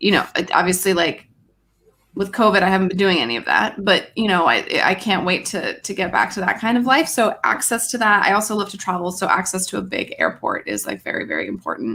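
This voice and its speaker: This woman's voice sits at a medium pitch, with a bright, sharp tone and vocal fry, moving at a fairly quick pace. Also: lively intonation. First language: French. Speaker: live stream panel guest. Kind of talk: casual chat. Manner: hesitant, many fillers.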